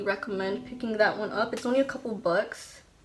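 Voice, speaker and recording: A woman at a very fast pace, fairly high in pitch with fairly even intonation, amid noticeable background noise. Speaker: beauty vlogger. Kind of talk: makeup tutorial with casual chat. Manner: says um a lot.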